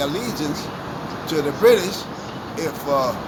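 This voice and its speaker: Against noticeable background noise and audible room echo, a man talks in a fairly high pitch. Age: 70s. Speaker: member of the public interviewed outside court. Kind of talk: street interview.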